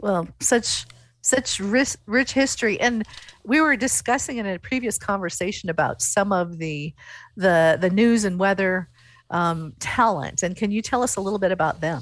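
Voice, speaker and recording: A woman with an unremarkable speaking voice and an American accent talks at a medium pitch and a moderate pace, in a very clean recording with a silent background. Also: lively intonation. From central Nebraska. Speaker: podcast host. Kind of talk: casual interview.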